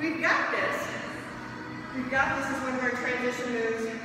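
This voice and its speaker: A woman's high-pitched voice stays monotone and flat, with strong room echo and noticeable background noise. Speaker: fitness coach. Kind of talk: workout instruction. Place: gym. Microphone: camera far.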